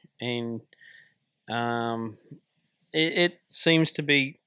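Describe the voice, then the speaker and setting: A man talks in an Australian accent with fairly even intonation. The sound is dry and close, with no echo. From Tasmania, Australia. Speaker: truck driver and army veteran. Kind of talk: casual interview. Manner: hesitant, frequent fillers.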